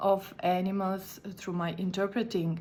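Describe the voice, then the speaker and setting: A woman at medium pitch with a Slovene accent, at a fairly slow pace. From Slovenia. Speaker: conference interpreter. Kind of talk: recorded video talk. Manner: halting.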